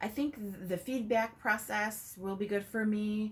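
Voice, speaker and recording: A woman speaks at a moderate pace, her voice somewhat breathy. Her intonation stays fairly even. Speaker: licensed professional counselor. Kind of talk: video application interview answers. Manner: hesitant, many fillers.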